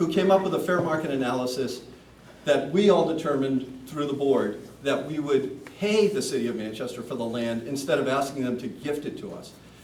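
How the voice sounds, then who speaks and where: Over noticeable background noise and audible room echo, a man talks at a fairly quick pace and a fairly high pitch, with ordinary pitch variation and big swings in loudness. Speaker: commercial real estate broker, community center board member. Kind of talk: public meeting Q&A. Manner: loud, projecting; hesitant, repeats words.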